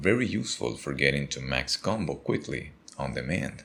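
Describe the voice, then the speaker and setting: A man with a non-native accent speaks at a moderate pace in a very deep, low pitch with vocal fry. His intonation is lively. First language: not English. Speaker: gaming content creator. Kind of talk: tutorial.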